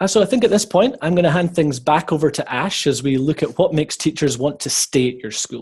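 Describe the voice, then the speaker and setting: Speaking with a Scottish accent, a man uses a fairly high pitch and lively intonation, with hardly any pauses. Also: fairly quick pace. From Scotland. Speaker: webinar presenter on teacher recruitment. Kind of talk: webinar presentation. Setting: online webinar.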